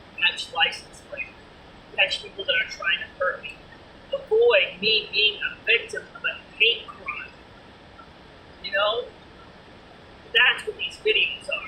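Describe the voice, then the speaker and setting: Over noticeable background noise, the delivery comes at a fairly slow pace with long, frequent pauses and big swings in loudness. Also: woman. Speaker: vlogger. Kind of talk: casual vlog monologue.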